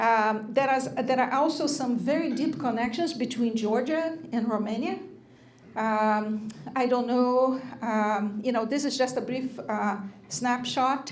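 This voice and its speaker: The speaker talks at a fairly slow pace with ordinary pitch variation, and the room echo is audible. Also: woman, high pitch for a woman. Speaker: lecturer at a church. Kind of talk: lecture. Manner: hesitant, many fillers.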